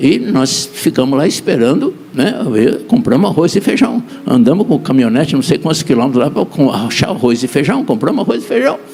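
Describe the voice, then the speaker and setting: Over noticeable background noise, a man talks fairly quickly at a fairly high pitch, with very wide pitch swings and very even loudness. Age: 70s. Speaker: apostle preacher. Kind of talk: sermon.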